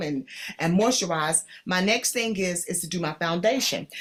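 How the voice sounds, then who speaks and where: A woman speaks at a fairly quick pace in an animated tone. Her pitch varies in an ordinary way. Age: 60s. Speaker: beauty consultant host. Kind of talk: makeup tutorial livestream.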